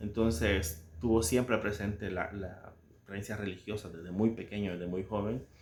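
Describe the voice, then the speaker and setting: With a Salvadoran accent, a man talks in a fairly low, somewhat breathy voice. His pace is moderate and his intonation fairly even. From El Salvador. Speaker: book commentator. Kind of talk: casual book commentary with readings. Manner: halting, many fillers and repetitions.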